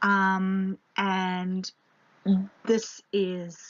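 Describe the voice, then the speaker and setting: A woman's somewhat breathy voice at medium pitch. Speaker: literature teacher. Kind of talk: lecture. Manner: hesitant, many fillers.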